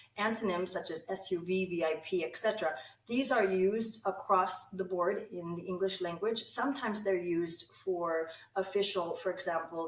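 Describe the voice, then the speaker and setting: A woman is speaking with ordinary pitch variation. Noticeable background noise runs behind her. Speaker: English language instructor. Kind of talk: online course introduction to camera.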